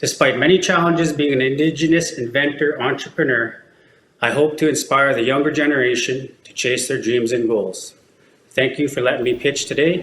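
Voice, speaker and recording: Speaking in a western Canadian accent, a man with a fairly high pitch keeps a fairly even intonation while his loudness swings widely. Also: moderate pace. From Alberta, Canada (Métis settlement). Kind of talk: business pitch; Q&A with judges. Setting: pitch competition with judges. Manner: scripted, rehearsed delivery.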